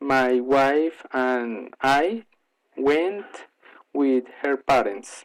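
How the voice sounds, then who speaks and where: A man with a Colombian accent speaks at a very slow pace. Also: medium pitch for a man, ordinary pitch variation. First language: Spanish. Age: 30s. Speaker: English learner. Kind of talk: prepared monologue presentation. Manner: halting with frequent fillers.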